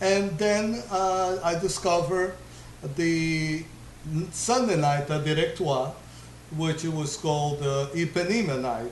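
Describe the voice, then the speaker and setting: A man with a fairly high pitch and a Portuguese accent speaks at a fairly slow pace, with long, frequent pauses and audible room echo. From Brazil, Rio de Janeiro. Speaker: DJ. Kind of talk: interview.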